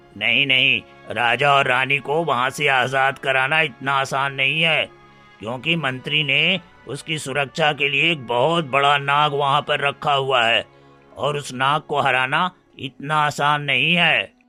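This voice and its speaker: Faint music plays in the background behind a man's cartoonish character voice. His pitch is fairly high and his pace fairly slow. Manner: calm, reassuring.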